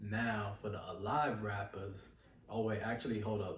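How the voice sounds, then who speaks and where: With a New York accent, a man talks in a fairly low pitch amid audible room echo and noticeable background noise. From New York City. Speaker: rapper. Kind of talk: interview. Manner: relaxed.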